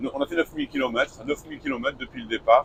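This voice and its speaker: A man speaks over noticeable background noise. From northern France, Lille. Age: 60s. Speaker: retired truck driver, travel vlogger. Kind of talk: casual chat.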